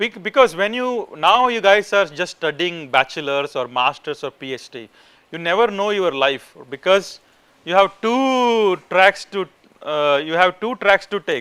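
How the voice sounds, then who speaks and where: A man with an Indian accent speaks at a high pitch in a bright, sharp tone, with lively intonation and a fairly slow pace. His loudness swings widely, and the sound is dry and close with no echo. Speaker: professor. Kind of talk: lecture. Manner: informal, conversational.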